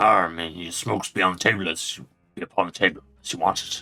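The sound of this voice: Using a put-on character voice, a man speaks raspy and very fast in a very deep, low pitch.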